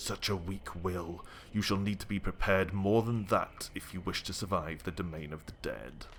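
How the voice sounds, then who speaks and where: Against clear background noise, a man puts on a character voice at very deep, low pitch and a moderate pace. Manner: menacing, disdainful, ominous.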